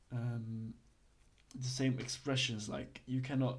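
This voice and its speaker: A somewhat breathy male voice at a medium pitch, fairly slow, with monotone, flat intonation. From Belgium. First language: not English (Belgian). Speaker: online roleplay legal course teacher. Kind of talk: tutorial. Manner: halting, many fillers; casual.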